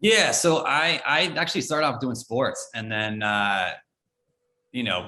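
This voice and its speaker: With an American accent, a man speaks at a fairly low pitch in a bright, sharp tone. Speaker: former entertainment reporter. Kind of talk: casual podcast interview. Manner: many fillers and repetitions.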